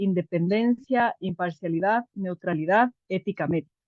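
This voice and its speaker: A woman talks at a fairly slow pace and medium pitch. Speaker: clinical psychologist with a humanitarian medical NGO. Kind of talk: online workshop lecture. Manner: hesitant fillers.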